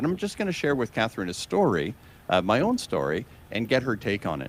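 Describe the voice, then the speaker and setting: Vocal fry marks this man's medium-pitched voice, which swings very widely in pitch at a fairly quick pace. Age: 60s. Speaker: motivational show host. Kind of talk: interview on live broadcast.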